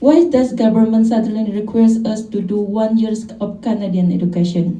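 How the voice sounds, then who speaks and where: In a room with audible echo, a woman speaks at a moderate pace and a fairly high pitch with ordinary pitch variation. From Indonesia. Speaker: caregiver and activist. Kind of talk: press conference statement. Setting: press conference. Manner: halting, with self-corrections.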